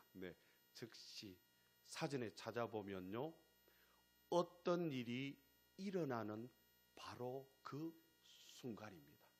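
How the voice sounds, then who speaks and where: A man at a very slow pace, with long, frequent pauses and very wide pitch swings. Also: medium pitch for a man. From Gyeongsang region, South Korea. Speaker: pastor. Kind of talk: sermon. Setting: church. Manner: emphatic, repetitive rhetorical cadence.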